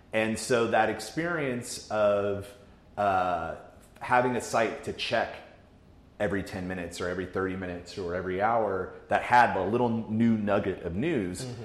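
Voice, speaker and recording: A man's fairly low voice at a moderate pace, with ordinary pitch variation and an unremarkable speaking voice. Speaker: digital media editor. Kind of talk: casual chat.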